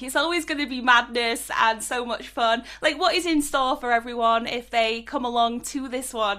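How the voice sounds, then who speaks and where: Speaking in a Yorkshire accent, a woman has a high pitch, ordinary pitch variation and a bright, sharp tone. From South Yorkshire, northern England. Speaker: music interviewer. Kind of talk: interview. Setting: video call. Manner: animated.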